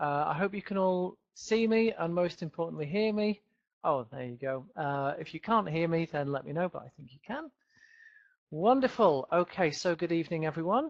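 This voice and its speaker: With a Yorkshire accent, a man speaks at a moderate pace in a high voice with lively intonation. The sound is dry and close with no echo, over a quiet background. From northern England, Leeds. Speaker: English teacher. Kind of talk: webinar lecture. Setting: home office, video webinar.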